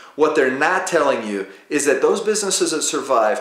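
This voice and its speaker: At a fairly quick pace, a man's speech rings with audible room echo. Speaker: show host. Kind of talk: presenter intro to camera. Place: home room.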